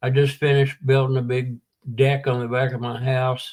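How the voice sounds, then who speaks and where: In a Southern US accent, a man speaks at a moderate pace with medium pitch. His voice is somewhat breathy and monotone, with flat intonation. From US South, Tennessee (Chattanooga). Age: 70s. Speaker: war veteran in recovery. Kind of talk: interview testimony.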